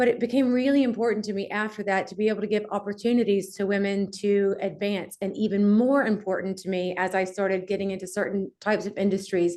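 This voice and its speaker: A woman talks very fast with hardly any pauses, in a slight Southern US accent. Her tone is dark and mellow, her pitch medium and her intonation fairly even. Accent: slight Southern twang. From US South, Mobile, Alabama. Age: 40s. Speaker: entrepreneur, company CEO. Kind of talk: interview.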